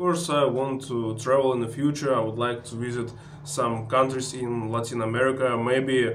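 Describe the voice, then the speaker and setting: With a Russian accent, a man speaks at a medium pitch and a moderate pace, barely pausing, his intonation fairly even. Noticeable background noise and audible room echo surround him. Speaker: travel vlogger. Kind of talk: tutorial. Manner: halting with many filler sounds.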